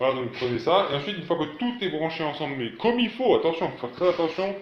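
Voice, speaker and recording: A man is speaking. His pitch is fairly high. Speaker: DIY tech YouTuber. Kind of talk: tutorial. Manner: fast; hesitant, many fillers.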